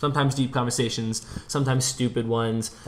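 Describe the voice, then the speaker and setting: Using an ordinary speaking voice, a man of medium pitch talks at a fairly quick pace with fairly even intonation. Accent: American. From US Midwest, Minneapolis. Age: 20s. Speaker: podcast co-host. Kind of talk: casual chat.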